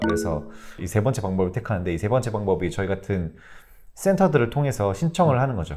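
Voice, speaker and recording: There is music in the background as a man talks at a fairly quick pace. His pitch is fairly low and his intonation is lively. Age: 30s. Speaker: social worker. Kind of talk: interview answer.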